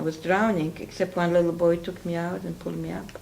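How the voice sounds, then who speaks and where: This woman speaks with a Polish accent. Her pitch is fairly low. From Poland. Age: 60s. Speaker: interviewee, Holocaust survivor. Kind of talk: oral history interview.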